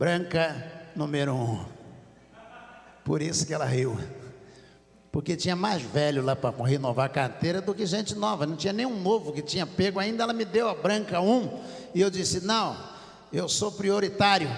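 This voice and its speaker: A man with a high pitch and lively intonation speaks with long, frequent pauses in a room with audible echo. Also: moderate pace. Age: 60s. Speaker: pastor. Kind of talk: sermon.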